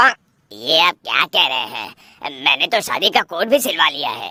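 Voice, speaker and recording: A man puts on a cartoonish character voice, pitched high with very wide pitch swings. He keeps a moderate pace, and the sound is dry and close with no echo. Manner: nervous.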